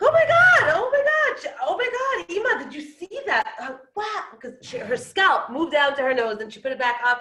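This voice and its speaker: An animated woman with an American accent projects a raised voice, high in pitch and swinging very widely. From Brooklyn, New York (Israeli family). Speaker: storyteller sharing life story. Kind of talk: personal storytelling talk.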